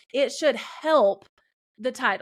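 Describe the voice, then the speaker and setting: A woman talks in a Southern US accent, recorded very cleanly against a silent background. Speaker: YouTube creator and business coach. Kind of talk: podcast interview.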